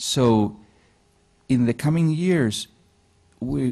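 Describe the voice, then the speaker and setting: A man with a Spanish accent speaks in a dark, mellow tone, his pitch swinging very widely against a quiet background. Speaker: digital agency founder. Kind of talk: interview on stage. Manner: halting.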